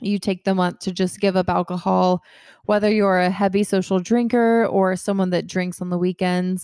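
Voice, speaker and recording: A dark, mellow voice with an American accent, flat and monotone, on a very clean recording with a silent background. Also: woman, medium pitch for a woman, moderate pace, dry, close sound with no echo. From Georgia, US South (Kennesaw, near Atlanta). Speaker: podcast host. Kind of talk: casual solo chat.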